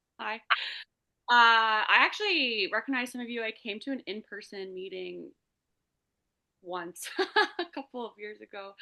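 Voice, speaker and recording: A woman with a fairly high voice talks at a moderate pace with ordinary pitch variation. She takes long, frequent pauses, and her loudness swings widely. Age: 30s. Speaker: support group participant. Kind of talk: personal testimony. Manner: halting.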